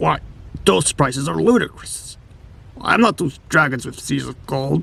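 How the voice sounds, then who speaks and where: A man puts on a raspy character voice. It sits fairly high in pitch and moves at a moderate pace. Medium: short film. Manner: formal, old-fashioned phrasing.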